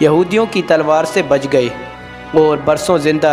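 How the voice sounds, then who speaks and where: Music plays in the background as a man with a fairly high pitch speaks with ordinary pitch variation. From Pakistan. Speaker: voice over artist. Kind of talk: Islamic story narration.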